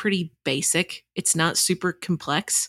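A woman speaks in an unremarkable speaking voice at medium pitch with fairly even intonation. The recording is very clean, with a silent background and a dry, close sound with no echo. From Texas. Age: 30s. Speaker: journalist and author. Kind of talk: interview conversation.

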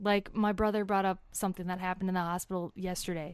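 Intonation stays monotone and flat. The speaker talks with an Upper Midwest accent. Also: woman. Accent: Upper Midwest American. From US Midwest. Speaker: kidney donor. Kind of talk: casual interview. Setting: in person, face-to-face.

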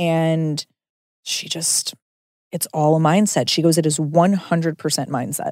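A woman talks fairly slowly at a fairly low pitch with fairly even intonation, in an ordinary speaking voice. The sound is dry and close, with no echo. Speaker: food podcast host. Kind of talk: casual interview chat over food. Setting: in person, eating together.

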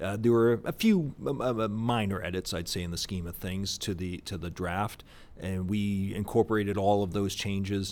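A plain, everyday voice belongs to a man who speaks at a moderate pace with a fairly low pitch and fairly even intonation. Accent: American. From US Northeast (Boston area). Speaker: think tank executive director. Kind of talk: interview conversation. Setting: on location at presidential center.

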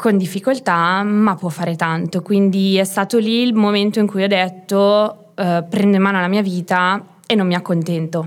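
A woman with an unremarkable speaking voice talks at a moderate pace and medium pitch, her intonation fairly even, on a very clean recording with a silent background. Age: 20s. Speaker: small business owner, herbalist shop. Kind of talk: casual interview.

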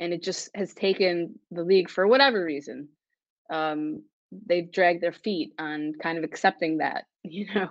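An ordinary speaking voice belongs to this woman with an American accent. Her pitch is fairly low, with ordinary pitch variation. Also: moderate pace. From Buffalo, New York. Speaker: sports reporter. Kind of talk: casual interview.

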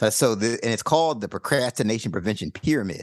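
Recorded with a dry, close sound with no echo and a quiet background, a man has a normal speaking voice with ordinary pitch variation at a fairly quick pace. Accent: American. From US Mid-Atlantic. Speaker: life coach and author. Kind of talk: casual interview chat.

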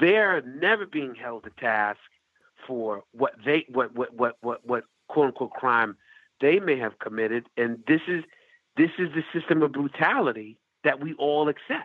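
Lively intonation at a moderate pace in an American accent. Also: man, fairly high pitch for a man. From US Northeast. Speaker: festival founder and agency owner. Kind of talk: casual chat. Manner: halting.

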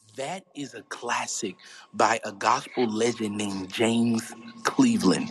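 A man with an American accent, big swings in loudness and noticeable background noise. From US South, South Carolina, near Charleston. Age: 20s. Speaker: gospel singer. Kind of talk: interview, casual chat.

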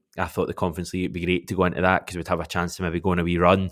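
Very deep and low in pitch, a man with a Glasgow accent is heard on a very clean recording with a silent background. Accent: Scottish (Glasgow). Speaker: football fan podcaster. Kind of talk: casual chat.

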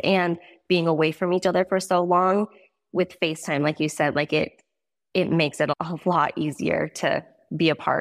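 Recorded very cleanly against a silent background, with a dry, close sound and no echo, a woman with an American accent speaks in a normal speaking voice at a moderate pace with ordinary pitch variation. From Montana. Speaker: rodeo athlete's wife. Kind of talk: casual chat.

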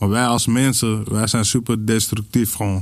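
Fairly low in pitch, a man speaks in a flat monotone. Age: 30s. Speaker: podcast guest. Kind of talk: casual chat.

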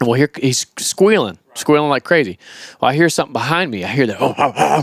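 Recorded dry and close with no echo, a man with a Southern US accent speaks with ordinary pitch variation. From Florida. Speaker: wildlife trapper and YouTuber. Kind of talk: casual chat. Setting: living room of a camp house.

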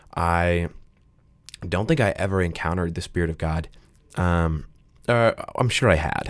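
A man with a very deep, low pitch speaks with long, frequent pauses. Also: ordinary pitch variation, moderate pace. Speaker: podcast host. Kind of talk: casual chat. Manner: hesitant, filler-heavy.

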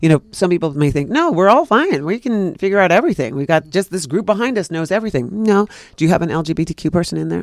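Dry and close with no echo, a man talks very fast in a high pitch with a New York accent, on a very clean recording with a silent background. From New York City. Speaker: actor. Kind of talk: casual chat.

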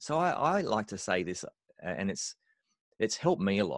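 Vocal fry and very wide pitch swings at a moderate pace, dry and close with no echo, against a quiet background. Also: man. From Australia. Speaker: worship leader and musician. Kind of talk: interview.

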